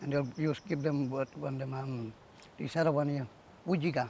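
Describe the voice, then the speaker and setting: At a fairly quick pace, a man talks in a fairly high, somewhat breathy voice with fairly even intonation. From Far North Queensland, Yarrabah. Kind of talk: cultural demonstration. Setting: outdoors on beach.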